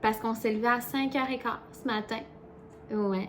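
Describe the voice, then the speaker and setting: A woman speaks in a Quebec accent at a fairly high pitch with fairly even intonation. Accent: Québécois French. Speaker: vlogger. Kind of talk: casual vlog chat. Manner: fast.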